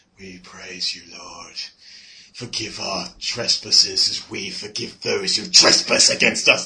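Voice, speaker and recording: This man puts on a character voice at a medium pitch. He talks at a fairly slow pace, and his loudness swings widely. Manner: creepy, droning, monotone.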